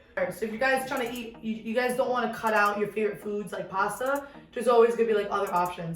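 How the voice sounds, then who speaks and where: Against music in the background, a woman with a New York accent speaks at a fairly high pitch. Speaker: home cook, cooking channel host. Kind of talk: casual cooking video talk. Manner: casual, joking, profane.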